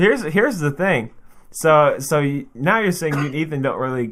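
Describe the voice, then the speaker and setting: A man with a normal speaking voice, lively intonation and a fairly high pitch talks at a moderate pace. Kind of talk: casual chat. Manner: joking, banter-heavy.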